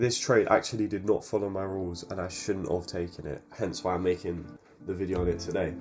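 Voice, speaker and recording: With music playing behind, the speaker talks at a fairly quick pace. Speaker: forex trader. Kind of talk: screen-recorded trade review voiceover.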